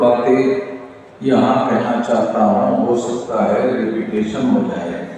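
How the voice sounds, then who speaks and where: A man is speaking, with audible echo from the room. Background noise is noticeable. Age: 60s. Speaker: organization leader. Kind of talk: convention speech.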